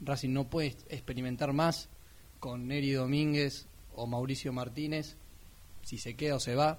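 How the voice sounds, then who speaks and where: A man's fairly high voice moves at a fairly slow pace with monotone, flat intonation and long, frequent pauses. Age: 20s. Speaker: sports radio panelist. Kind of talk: casual sports talk radio.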